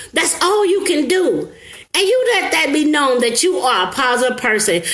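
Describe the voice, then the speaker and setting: A woman speaks in an animated tone, her pitch swinging very widely. Audible room echo and noticeable background noise surround her. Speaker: motivational live streamer. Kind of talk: live stream motivational talk. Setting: live stream.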